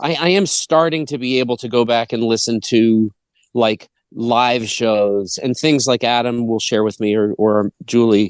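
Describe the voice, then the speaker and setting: With a Boston accent, a man speaks at medium pitch and moderate pace with ordinary pitch variation, the sound dry and close with no echo. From Massachusetts, US. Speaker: bluegrass band musician. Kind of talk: casual interview conversation.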